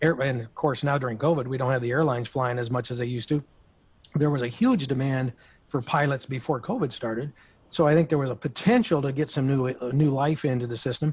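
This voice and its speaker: A man at a very fast pace, somewhat breathy, medium in pitch, with fairly even intonation. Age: 60s. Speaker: insurance broker. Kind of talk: roundtable discussion. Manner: halting.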